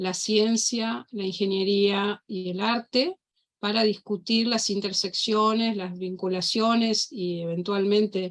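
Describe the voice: A woman at medium pitch, slow in pace, with fairly even intonation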